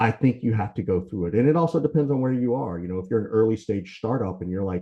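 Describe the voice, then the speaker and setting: A man rattles along at a very fast pace with an American accent, a dark, mellow tone and ordinary pitch variation. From US South, Macon, Georgia. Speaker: sales consultant. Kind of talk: lecture.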